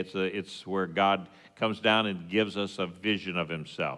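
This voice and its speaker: A man with a West Texas accent speaks at a fairly slow pace in a bright, sharp tone. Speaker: congregation teacher. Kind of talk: sermon. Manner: halting, many fillers.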